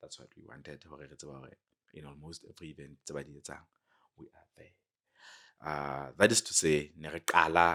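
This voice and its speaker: In a Lesotho accent, a man with a very deep, low pitch and a bright, sharp tone speaks at a moderate pace with fairly even intonation. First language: Sesotho. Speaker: clothing brand cofounder. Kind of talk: casual interview. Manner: code-switching English and Sesotho.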